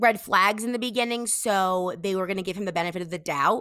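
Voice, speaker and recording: A woman's normal speaking voice, medium in pitch with fairly even intonation and a fairly quick pace, on a very clean recording with a silent background. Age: 20s. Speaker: guest co-host sharing dating experience. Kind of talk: casual chat.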